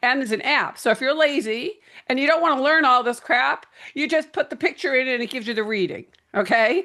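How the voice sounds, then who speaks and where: A raised, projected voice at a very fast pace, with lively intonation and a bright, sharp tone. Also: woman, high pitch for a woman. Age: 60s. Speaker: face reading coach. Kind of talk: networking pitch. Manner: energetic.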